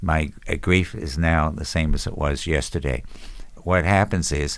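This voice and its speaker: A man talks at a fairly slow pace. His voice has vocal fry. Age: 70s. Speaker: bereaved military parent. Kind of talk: interview storytelling. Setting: podcast.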